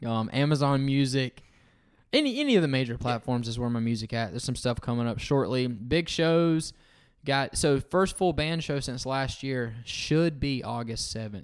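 A man with a Southern US accent, medium-pitched, at a moderate pace with ordinary pitch variation, on a very clean recording with a silent background. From US South, North Florida. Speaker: singer-songwriter. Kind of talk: casual chat.

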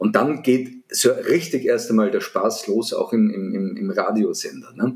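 This is a man speaking in a Viennese accent. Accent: Viennese Austrian dialect. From Vienna, Austria. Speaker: media sales consultant. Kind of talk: interview.

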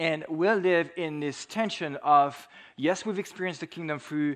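Against a quiet background, a man speaks at a moderate pace with a fairly high pitch and lively intonation. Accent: French. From France. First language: French. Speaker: preacher. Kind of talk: sermon.

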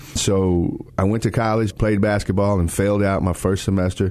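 Delivered at a moderate pace in an American accent, the speech has a monotone, flat intonation. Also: man. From Texas. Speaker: nonprofit ministry executive. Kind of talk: interview.

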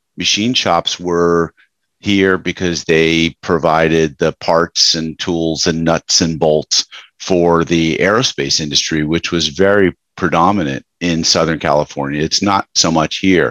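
Speaking at a fairly slow pace, a man has an American accent. His pitch is very deep and low. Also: fairly even intonation, dry, close sound with no echo. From US Northeast, Westchester New York. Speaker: business coach and author. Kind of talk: interview.

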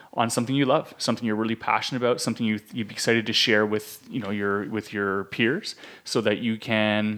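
Fairly even intonation and a fairly quick pace mark an ordinary speaking voice. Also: man. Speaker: podcast host, osteopath. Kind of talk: casual chat, business podcast.

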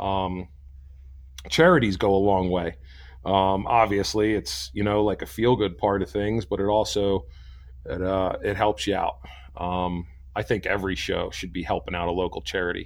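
An unremarkable speaking voice belongs to a man with a fairly low pitch. He speaks at a moderate pace with ordinary pitch variation. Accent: American. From New Jersey. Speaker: chainsaw carver and event organizer. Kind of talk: interview. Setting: remote call.

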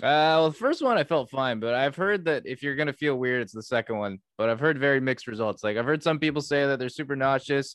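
Speaking at a very fast pace, a man leaves hardly any pauses. His pitch is fairly high with ordinary variation, over a quiet background. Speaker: podcast co-host. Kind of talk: casual chat. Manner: mumbling.

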